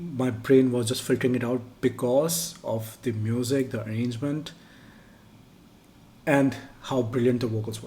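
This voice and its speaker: At a moderate pace, a man with a Pakistani accent speaks in a somewhat breathy, dark, mellow tone at medium pitch, with fairly even intonation and long, frequent pauses. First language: Urdu. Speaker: music reaction youtuber. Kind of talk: casual chat. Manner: halting.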